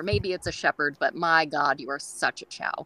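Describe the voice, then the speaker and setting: A woman talks in a Californian accent. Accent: California. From San Francisco Bay Area, California. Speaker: dog groomer. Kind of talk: casual interview chat. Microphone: very quiet audio.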